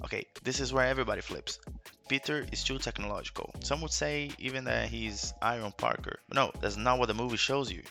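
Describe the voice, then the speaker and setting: Over music in the background, a man with a non-native accent speaks at a fairly quick pace. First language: not English. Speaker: YouTube film commentator. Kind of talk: movie commentary video essay.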